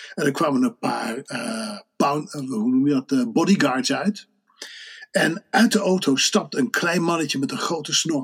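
A man speaks fairly slowly in a high pitch. His pitch swings very widely. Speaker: Dutch expat panelist and volunteer. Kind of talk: casual chat.

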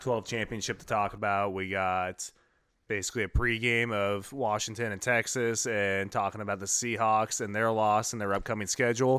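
An unremarkable speaking voice from a man at medium pitch and moderate pace, with fairly even intonation, comes through on a very clean recording with a silent background. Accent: American. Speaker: sports podcast host. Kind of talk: casual chat.

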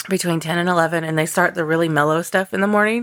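Recorded very cleanly with a silent background, a woman speaks in a bright, sharp tone. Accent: American. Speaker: podcast co-host. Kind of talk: casual chat. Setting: home recording. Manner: animated.

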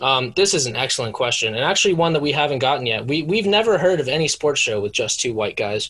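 A man talks at a very fast pace with lively intonation. His tone is enthusiastic. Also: very clean recording, silent background. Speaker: sports podcast co-host. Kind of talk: casual comedic banter. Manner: enthusiastic, casual.

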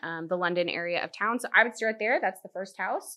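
In a plain, everyday voice, a woman speaks at a medium pitch with an American accent and ordinary pitch variation, on a very clean recording with a silent background. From Virginia Beach, Virginia. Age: 30s. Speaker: home builder sales manager. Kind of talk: casual interview.

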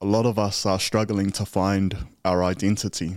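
The recording is very clean, with a silent background. A man talks in a fairly low pitch with monotone, flat intonation. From New Zealand, Tokoroa (Māori and Cook Island heritage). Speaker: podcaster and former prisoner. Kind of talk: interview testimony. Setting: studio.

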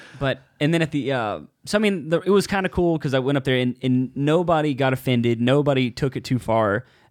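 Speaking fairly quickly, a man keeps to a medium pitch that varies in a typical way. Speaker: open mic comedian and podcast co-host. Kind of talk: casual chat. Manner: fast talker.

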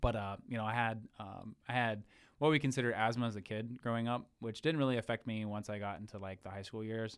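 In an American accent and an ordinary speaking voice, a man speaks at a fairly quick pace with medium pitch and fairly even intonation, on a very clean recording with a silent background. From Ohio. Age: 20s. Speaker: military veteran. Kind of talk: casual chat.

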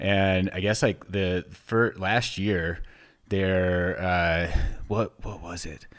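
A man talks at a very slow pace with a very deep, low pitch. His intonation stays monotone and flat. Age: 30s. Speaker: podcast host. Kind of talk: casual chat.

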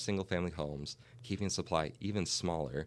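With an American accent, a man speaks in a very deep, low pitch with ordinary pitch variation. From Minnesota. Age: 20s. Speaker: real estate agent. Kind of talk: casual interview.

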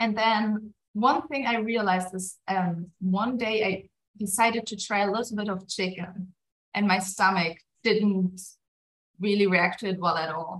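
A woman talks with a German accent at a medium pitch, somewhat breathy. Her pace is fairly slow and her intonation fairly even. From Germany. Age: 20s. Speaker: pastor. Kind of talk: casual interview chat.

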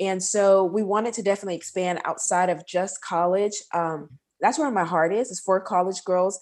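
A woman with an American accent and a plain, everyday voice speaks at medium pitch and a moderate pace, with ordinary pitch variation on a very clean recording with a silent background. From Texas, Houston. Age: 20s. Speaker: nurse and podcast host. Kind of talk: interview.

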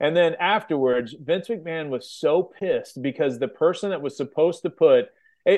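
A man speaks at a moderate pace. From US Midwest, Kansas City. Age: 40s. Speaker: wrestling podcast co-host and interviewer. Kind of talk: casual interview.

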